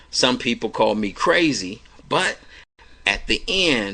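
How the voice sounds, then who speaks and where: Loud and with an American accent, a man speaks in a bright, sharp tone. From Cleveland, Ohio. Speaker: evangelist radio host. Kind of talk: personal testimony.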